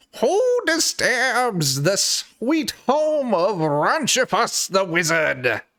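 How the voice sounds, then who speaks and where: A put-on character voice at a fairly high pitch moves at a very slow pace with hardly any pauses. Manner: yelling, angry.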